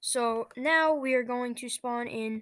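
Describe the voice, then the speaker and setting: In a dry, close sound with no echo, a woman speaks at a high pitch. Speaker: flight simulator youtuber. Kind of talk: gameplay commentary. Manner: hesitant, many fillers.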